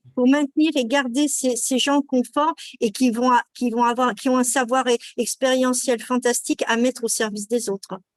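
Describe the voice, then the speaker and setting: A woman speaks at a moderate pace in a high voice, with fairly even intonation. Her loudness stays very even, and the sound is dry and close with no echo. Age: 60s. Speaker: patient partner, association president. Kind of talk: webinar panel discussion. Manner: hesitant, many fillers.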